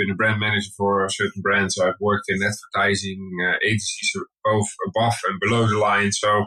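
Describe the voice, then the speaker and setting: With a Dutch accent, a man speaks at a fairly quick pace and a fairly low pitch. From Netherlands. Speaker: skincare brand co-founder. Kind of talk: podcast interview.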